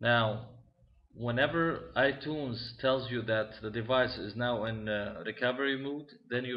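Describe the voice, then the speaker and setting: A man's medium-pitched voice with a non-native accent and fairly even intonation. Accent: foreign accent, self-noted. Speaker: tech tutorial maker. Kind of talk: tutorial. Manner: halting, many fillers.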